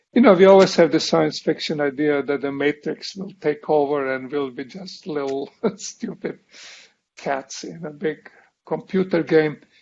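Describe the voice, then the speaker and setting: A man with a strong non-native accent speaks at a moderate pace and a fairly high pitch. His pitch varies in an ordinary way, while his loudness swings widely. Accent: foreign accent, self-described strong. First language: not English. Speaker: professor. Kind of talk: lecture.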